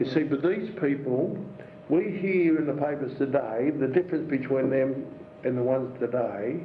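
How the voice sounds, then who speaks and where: A man with an Australian accent speaks at a moderate pace and a fairly high pitch. Noticeable background noise and audible room echo surround his voice. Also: ordinary pitch variation. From Melbourne, Australia. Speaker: retired police detective. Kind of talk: interview. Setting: home living room.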